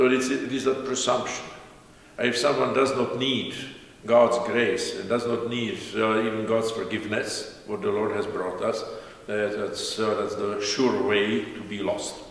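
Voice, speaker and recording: A man talking at a fairly slow pace, with audible room echo. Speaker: priest. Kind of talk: sermon. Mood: calm, warm, smiling. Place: church. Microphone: camera far.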